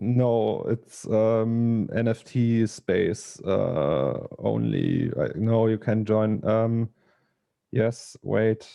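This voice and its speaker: Speaking with a German accent, a man keeps a very slow pace, medium pitch, ordinary pitch variation and very even loudness. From Germany. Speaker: digital artist. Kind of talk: casual chat. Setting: video call. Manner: halting.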